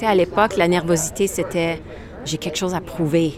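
A woman is talking while noticeable background noise runs behind her. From Saskatchewan, western Canada (Franco-Saskatchewanian). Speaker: singer-songwriter. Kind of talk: interview. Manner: halting, with many repetitions.

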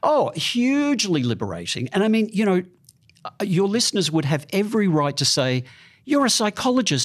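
A man with an Australian accent talks at a high pitch and a moderate pace, with very wide pitch swings and very even loudness. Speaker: psychologist. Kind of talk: interview. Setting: studio.

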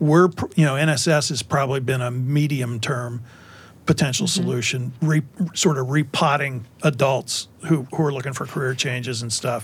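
A man speaks in a normal speaking voice at a moderate pace, his intonation fairly even. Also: medium pitch for a man. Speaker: school founder and CEO. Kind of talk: panel discussion.

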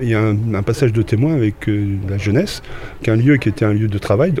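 Noticeable background noise sits under this clip. A man talks fairly quickly at a medium pitch with ordinary pitch variation. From Normandy, Rouen. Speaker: retired schoolteacher, amateur photographer. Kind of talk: interview.

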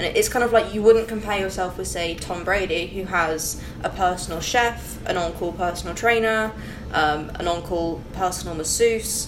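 The voice moves at a moderate pace with ordinary pitch variation, while noticeable background noise and audible room echo fill the recording. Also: woman, medium pitch for a woman. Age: young. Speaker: competitive strength athlete. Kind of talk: casual chat.

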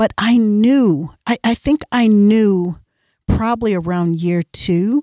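This voice has a dark, mellow tone, ordinary pitch variation and an American accent. The recording is very clean with a silent background and a dry, close sound with no echo. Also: woman. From Iowa. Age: 50s. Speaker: podcast co-host, author and entrepreneur. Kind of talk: casual chat.

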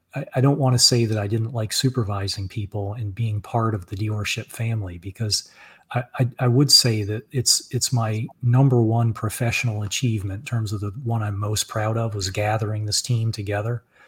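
A man talks at a fairly quick pace with hardly any pauses. His medium-pitched voice is somewhat breathy, with fairly even intonation. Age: 40s. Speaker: author and car dealership owner. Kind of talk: interview. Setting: live stream.

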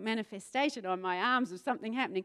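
A woman talks at a very fast pace with very wide pitch swings. The recording is very clean, the background silent. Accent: New Zealand. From New Zealand, South Island. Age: 40s. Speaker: pastor. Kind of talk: sermon. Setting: church stage with audience.

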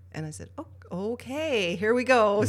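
The voice has vocal fry. The woman's pitch swings very widely. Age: 50s. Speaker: intuition expert and speaker. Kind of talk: casual interview. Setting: studio.

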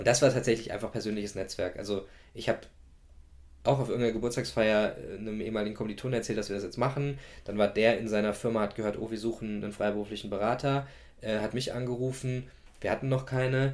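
On a very clean recording with a silent background, a man talks very fast at a medium pitch, his intonation fairly even. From Germany, Gießen (central Hesse). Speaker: startup founder. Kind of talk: interview. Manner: many filler sounds.

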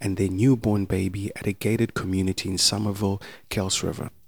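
A man with a normal speaking voice and a fairly low pitch talks at a moderate pace in a very clean recording with a silent background. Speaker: podcast narrator. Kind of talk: true-crime narration. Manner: solemn, measured, formal storytelling delivery; scripted, even-paced and sombre.

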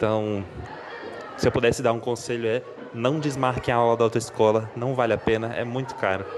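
Noticeable background noise accompanies monotone, flat intonation broken by long, frequent pauses. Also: man, medium pitch for a man, fairly quick pace. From Brasília, Brazil. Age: 20s. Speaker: listener sending a story. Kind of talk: casual personal anecdote. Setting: recorded voice message.

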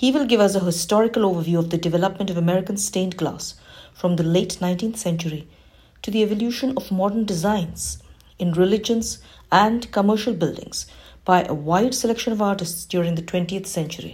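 A somewhat breathy woman at a medium pitch, ordinary pitch variation and a fairly quick pace. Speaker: library program presenter. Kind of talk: scripted announcements.

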